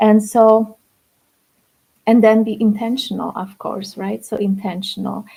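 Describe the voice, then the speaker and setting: Somewhat breathy and dark, mellow in tone, the speaker talks at a fairly slow pace with a Polish accent. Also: woman. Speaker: spiritual coach. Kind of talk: livestream talk. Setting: livestream.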